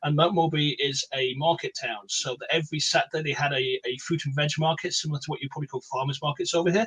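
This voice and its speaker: A man with an English accent talks at a fairly quick pace in a fairly high pitch, his intonation fairly even. The sound is dry and close, with no echo. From England. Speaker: comic creator. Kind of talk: casual chat. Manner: talkative.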